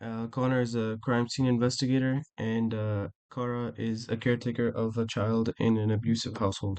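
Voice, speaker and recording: A man speaks in a medium pitch with hardly any pauses. His intonation is monotone and flat against a quiet background. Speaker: student presenter. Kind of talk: class presentation. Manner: fast; halting, with fillers and restarts.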